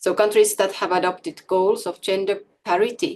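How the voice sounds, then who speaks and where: Speaking at a moderate pace, a woman talks with a Finnish accent. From Finland. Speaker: democracy expert. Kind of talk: conference presentation. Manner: formal.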